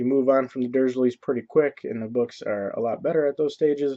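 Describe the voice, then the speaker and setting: Here a man with a medium pitch and a dark, mellow tone speaks at a moderate pace with ordinary pitch variation. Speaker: video blogger. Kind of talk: casual vlog monologue. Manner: casual, halting with fillers.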